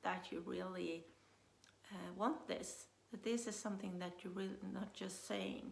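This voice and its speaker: A woman's voice with audible room echo. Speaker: business coach. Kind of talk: motivational talk. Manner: hesitant, many fillers.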